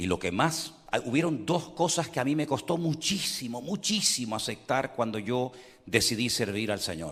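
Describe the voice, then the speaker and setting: This man's voice sits at a medium pitch and moves at a moderate pace. His pitch swings very widely. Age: 60s. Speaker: pastor. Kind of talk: sermon.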